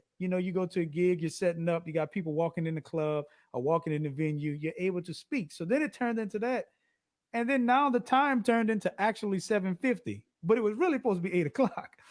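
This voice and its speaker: The delivery is animated, with lively intonation and a very fast pace. The sound is dry and close with no echo, in a very clean recording with a silent background. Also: man, high pitch for a man. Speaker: musician and live-stream entertainer. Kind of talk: casual chat.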